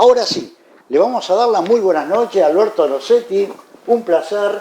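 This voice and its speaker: A man's high voice in a Rioplatense accent, with lively intonation at a moderate pace over noticeable background noise. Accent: Argentine Spanish (rioplatense). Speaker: interviewer. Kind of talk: interview.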